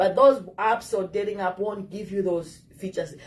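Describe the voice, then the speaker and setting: Her intonation lively and her voice somewhat breathy, a woman speaks with an African accent. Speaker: dating advice vlogger. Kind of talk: casual advice talk to camera.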